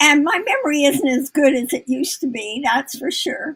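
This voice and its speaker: In a high pitch, a woman speaks at a fairly slow pace. Her pitch variation is ordinary. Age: 80s+. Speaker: author and former healthcare CEO. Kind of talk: live mentoring session. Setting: live video broadcast.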